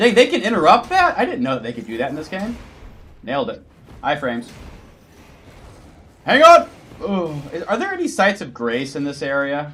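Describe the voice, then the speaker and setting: A man with an American accent speaks in an animated tone at a fairly high pitch and a moderate pace, leaving long, frequent pauses. His pitch swings very widely and his loudness shifts a lot, over noticeable background noise. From United States. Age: 30s. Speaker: gaming streamer. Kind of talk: live gameplay stream chat. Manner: casual, animated.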